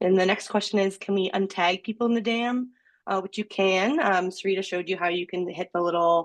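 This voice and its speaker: A woman speaks at a fairly quick pace in an American accent, her pitch medium with ordinary variation. The background is quiet. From US East Coast. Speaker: webinar moderator. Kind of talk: webinar Q&A. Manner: fast.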